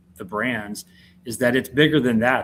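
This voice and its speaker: This man talks at a fairly quick pace in a medium pitch. He has a Southern US accent and ordinary pitch variation. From US South (southern Georgia). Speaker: entrepreneur. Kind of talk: interview.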